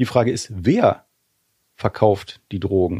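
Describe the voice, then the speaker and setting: The sound is dry and close with no echo and a quiet background as a man speaks in a dark, mellow tone with ordinary pitch variation. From western Germany, Remscheid near Wuppertal. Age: 40s. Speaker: cannabis lobby association director. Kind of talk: debate discussion.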